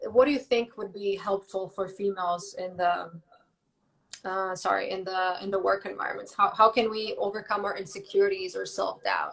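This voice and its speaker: A woman talks at a moderate pace with a Croatian accent. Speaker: live talk host. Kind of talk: casual chat.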